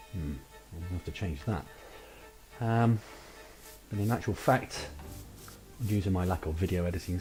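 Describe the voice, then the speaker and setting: A man speaks with a very deep, low pitch and ordinary pitch variation. Music plays in the background. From United Kingdom. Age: 30s. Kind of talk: casual gameplay commentary. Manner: hesitant, rambling.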